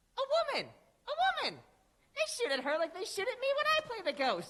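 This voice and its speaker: This squeaky put-on character voice has an extremely high pitch, very wide pitch swings and a very fast pace. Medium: stage play. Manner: gruff, cackling, eccentric.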